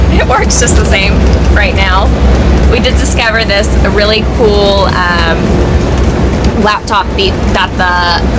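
A woman speaks at a fairly slow pace while music plays in the background. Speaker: RV travel vlogger. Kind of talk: casual vlog chat. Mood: cheerful, excited. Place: car. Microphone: phone near.

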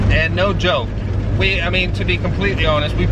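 The sound is dry with no echo, under loud background noise. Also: man. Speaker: car vlogger driving. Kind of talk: casual vlog chat. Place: car. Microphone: phone near.

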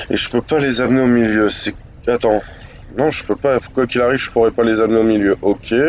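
This man speaks at a medium pitch and a fairly quick pace. His intonation is fairly even. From northern France. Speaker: gaming youtuber. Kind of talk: let's play commentary. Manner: casual, hesitant.

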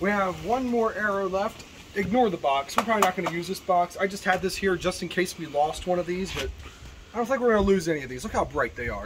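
A man's high voice races along very fast, its pitch varying in an ordinary way, amid noticeable background noise. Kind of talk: casual vlog chat.

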